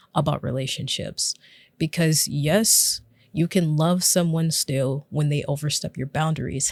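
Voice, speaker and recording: A woman with a very deep, low pitch and a somewhat breathy voice speaks at a moderate pace with fairly even intonation, recorded very cleanly against a silent background with a dry, close sound and no echo. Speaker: relationship vlogger. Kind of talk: personal vlog monologue.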